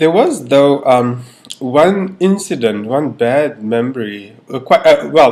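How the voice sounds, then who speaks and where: A man speaks with a South African accent and lively intonation. There is noticeable background noise. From South Africa, Cape Town. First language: Afrikaans. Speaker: interviewee. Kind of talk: personal testimony. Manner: halting, many fillers.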